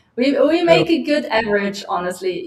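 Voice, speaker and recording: Music plays behind the voice. The speaker is a woman. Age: 40s. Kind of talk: casual group video call discussion. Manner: animated.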